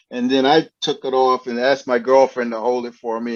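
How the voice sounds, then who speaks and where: A man talks at a fairly quick pace in a medium pitch, against a quiet background. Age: 60s. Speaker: professional photographer. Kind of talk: presentation Q&A at photo club. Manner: halting, many repetitions.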